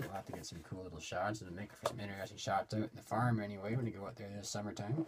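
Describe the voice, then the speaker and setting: A man is speaking. Loud background noise fills the recording. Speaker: hobby collector vlogger. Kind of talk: casual vlog chat. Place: home room.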